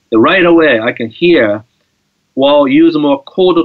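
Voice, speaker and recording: A man at a moderate pace in a Japanese accent. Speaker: guitar teacher. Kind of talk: interview. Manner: halting.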